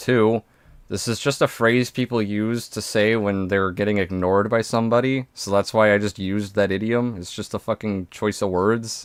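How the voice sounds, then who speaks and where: Speaking at a moderate pace, a man keeps his voice at a fairly low pitch. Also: very clean recording, silent background. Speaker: streamer reacting to videos. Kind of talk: live stream reaction commentary. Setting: live stream with voice chat. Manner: stumbles over words on stream; animated.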